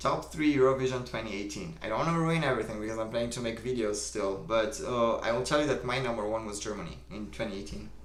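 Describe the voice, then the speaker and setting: A man with a Romanian accent speaks at a very fast pace in a medium-pitched voice. Room echo is audible. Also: ordinary pitch variation. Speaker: livestream host. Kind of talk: casual chat. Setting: live stream. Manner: casual, filler-heavy.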